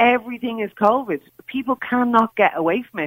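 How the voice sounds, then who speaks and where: In an Irish accent, a woman talks at a moderate pace. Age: 40s. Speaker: caller, mother. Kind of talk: radio phone-in call. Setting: phone call.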